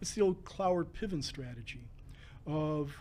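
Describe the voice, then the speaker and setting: A man speaks at a moderate pace in a fairly high pitch, somewhat breathy, with fairly even intonation. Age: 70s. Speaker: civil rights commissioner and labor lawyer. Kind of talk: interview conversation. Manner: halting with frequent fillers.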